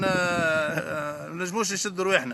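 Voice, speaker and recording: Here a man talks with a Tunisian accent. His tone is bright and sharp. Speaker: football fan. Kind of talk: interview answer.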